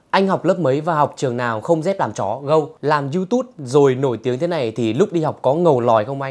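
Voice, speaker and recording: Lively intonation marks this man's fairly high-pitched voice as he talks at a fairly quick pace. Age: 20s. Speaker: YouTuber and comedy creator, drama student; YouTuber answering viewer questions. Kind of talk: casual Q&A video. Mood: playful, joking. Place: home room. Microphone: lapel.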